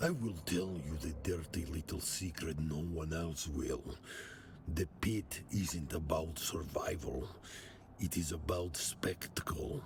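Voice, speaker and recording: Over clear background noise, a man uses a put-on character voice with a very deep, low pitch. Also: fairly slow pace. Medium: video game. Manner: cold, measured.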